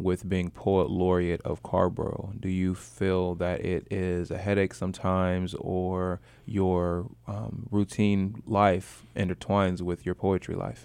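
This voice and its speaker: Against a quiet background, a man with a very deep, low pitch speaks at a very slow pace with fairly even intonation and hardly any pauses. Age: 30s. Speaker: radio host. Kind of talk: casual chat. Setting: studio.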